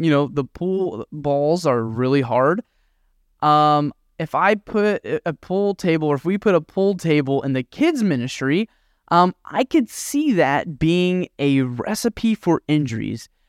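In a very clean recording with a silent background, a man with a normal speaking voice talks with lively intonation, the sound dry and close with no echo. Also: fairly high pitch for a man, fairly slow pace. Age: 20s. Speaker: podcast host and youth minister. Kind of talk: devotional talk.

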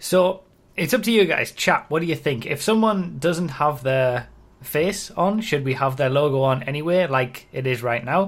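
A somewhat breathy man at a fairly high pitch and moderate pace, on a very clean recording with a silent background. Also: lively intonation. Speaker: YouTuber and podcast host. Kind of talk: casual chat.

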